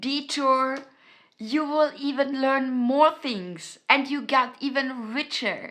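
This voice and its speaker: At a very slow pace, a woman uses a raised, projected voice with a high pitch and a bright, sharp tone. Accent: German. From Austria. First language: German. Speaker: self-help YouTuber. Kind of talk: motivational talk to camera. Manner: halting, many fillers and repetitions.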